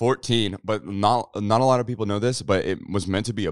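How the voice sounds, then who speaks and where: Against a quiet background, a man with an American accent speaks at a fairly low pitch with ordinary pitch variation, and the sound is dry with no echo. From Kansas, rural. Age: 20s. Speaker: YouTuber and musician; YouTuber. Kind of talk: casual chat. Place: studio. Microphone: handheld.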